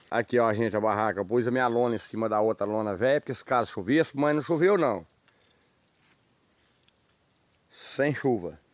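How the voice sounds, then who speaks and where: A man at a moderate pace with ordinary pitch variation, long, frequent pauses, and a dry sound with no echo. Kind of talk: casual vlog chat. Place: forest. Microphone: phone near.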